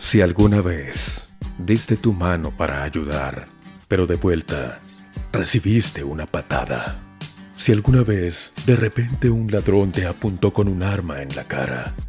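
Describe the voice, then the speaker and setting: A man with a very deep, low pitch talks at a fairly slow pace with lively intonation while music plays in the background. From Colombia. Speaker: voice actor. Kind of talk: promo intro read.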